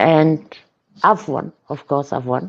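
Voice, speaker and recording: The speech comes at a very slow pace with a German accent. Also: woman. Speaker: online wrestling roleplayer. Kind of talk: casual chat.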